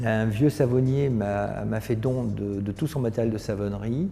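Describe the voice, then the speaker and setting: Music plays in the background as a man speaks at a very slow pace. His pitch varies in an ordinary way. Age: 60s. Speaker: company founder. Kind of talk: interview monologue. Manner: hesitant, many fillers.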